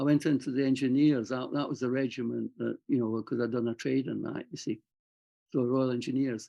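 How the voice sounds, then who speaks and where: This man speaks in a Scottish accent at medium pitch and a fairly quick pace. His intonation is fairly even. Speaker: army veteran and writer. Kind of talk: interview. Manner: halting.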